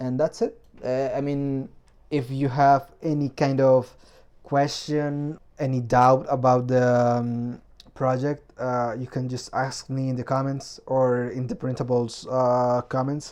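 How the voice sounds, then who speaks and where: A man with a non-native accent, fairly slow and monotone, against a quiet background. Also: medium pitch for a man. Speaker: 3D printing hobbyist, video maker. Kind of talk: tutorial. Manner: hesitant, many fillers.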